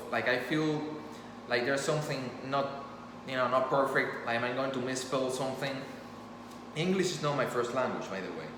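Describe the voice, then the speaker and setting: With a Spanish accent, a man speaks at medium pitch and a fairly quick pace, with ordinary pitch variation and long, frequent pauses. Noticeable background noise and audible room echo surround him. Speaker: storyteller and author. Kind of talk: impromptu monologue. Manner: casual, halting with fillers.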